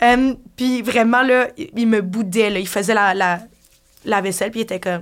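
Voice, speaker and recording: A woman speaks with an ordinary speaking voice at a fairly high pitch. Her pace is fairly slow, with ordinary pitch variation. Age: 20s. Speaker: bartender. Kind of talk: casual interview chat.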